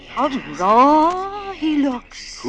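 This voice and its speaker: This is a put-on character voice that sounds female. The pitch is high for a woman. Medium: old radio play. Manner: snobbish.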